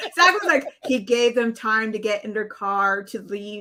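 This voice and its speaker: Fairly high in pitch, a woman speaks at a fairly slow pace. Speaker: movie reaction panelist. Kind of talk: casual chat. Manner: loud.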